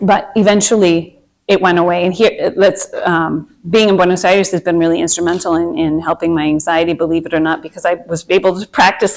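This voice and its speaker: A woman speaks at a fairly quick pace with fairly even intonation. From Minnesota, US. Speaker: meditation and anxiety coach. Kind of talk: workshop talk to a group. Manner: casual, hesitant with fillers.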